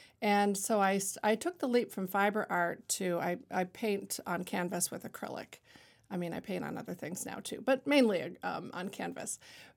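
Recorded very cleanly against a silent background, a woman of medium pitch speaks at a moderate pace with vocal fry and ordinary pitch variation. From Ontario, Canada (Niagara-on-the-Lake). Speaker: artist and shop owner. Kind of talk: casual interview. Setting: studio.

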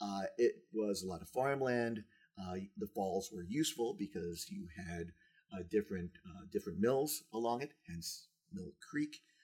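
Somewhat breathy, a man with an American accent and a fairly low pitch speaks at a fairly slow pace with lively intonation. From Texas, San Antonio. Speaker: community development director. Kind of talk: casual chat. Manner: halting.

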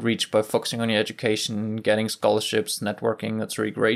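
A man speaks with a German accent at a medium pitch. His pace is fairly quick. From southern Germany. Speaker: former exchange student. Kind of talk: interview testimony.

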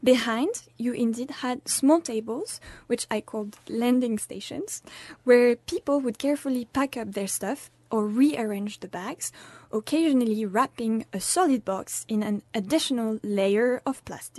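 In a French accent, a woman with a high pitch and ordinary pitch variation speaks at a fairly slow pace, the sound dry and close with no echo against a quiet background. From France. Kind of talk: scripted narration.

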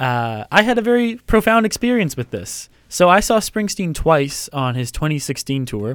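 Using hardly any pauses, a man speaks at a fairly slow pace and fairly high pitch with very wide pitch swings. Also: very clean recording, silent background. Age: 20s. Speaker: student podcast co-host. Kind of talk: casual chat. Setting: campus radio studio.

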